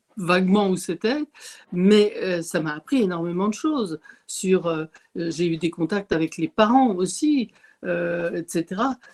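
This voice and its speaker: Recorded in a dry, close sound with no echo, a woman of medium pitch speaks very slowly with lively intonation. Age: 70s. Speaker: retired volunteer sharing testimony. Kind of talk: testimony. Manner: halting.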